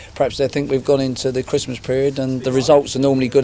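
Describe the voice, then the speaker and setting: Music plays in the background as a man talks at a very fast pace. His fairly high voice stays monotone and flat. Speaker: football manager. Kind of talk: interview answer.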